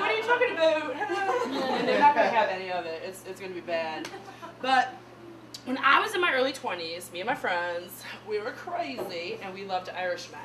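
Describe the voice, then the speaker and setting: With noticeable background noise and audible room echo, a woman speaks at a moderate pace, her fairly high voice showing very wide pitch swings and big swings in loudness. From US Midwest. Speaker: comedian. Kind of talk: stand-up.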